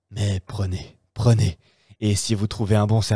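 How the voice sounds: A natural reading voice is heard. Nothing much sounds behind it, the background being quiet.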